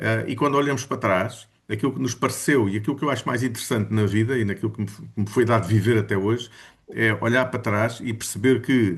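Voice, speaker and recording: Speech comes very fast from this man. His pitch is medium, with ordinary variation. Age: 60s. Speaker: study group participant. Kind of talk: casual group discussion. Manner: halting, many fillers.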